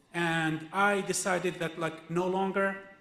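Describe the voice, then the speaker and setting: Through audible room echo and noticeable background noise, a man speaks at a fairly slow pace with monotone, flat intonation. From Israel (Palestinian citizen of Israel). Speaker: activist speaker, filmmaker. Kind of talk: personal testimony at a teach-in. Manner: halting, with many fillers and restarts.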